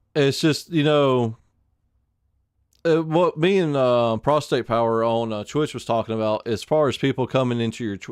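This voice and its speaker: With an American accent, a man talks at a moderate pace against a quiet background. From Alabama, US South. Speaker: game streamer. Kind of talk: casual live stream chat. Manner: halting, many fillers and restarts.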